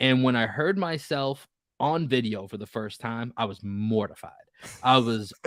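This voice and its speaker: Speaking in an American accent, a man uses a medium pitch with ordinary variation. His pace is moderate. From Boston area, Massachusetts. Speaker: podcast host. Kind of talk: casual chat.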